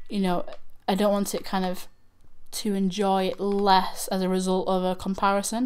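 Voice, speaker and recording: Speaking in a Manchester accent, a woman uses a medium pitch and monotone, flat intonation. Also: moderate pace. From northern England, Manchester. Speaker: YouTube reaction channel host. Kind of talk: livestream chat. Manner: halting.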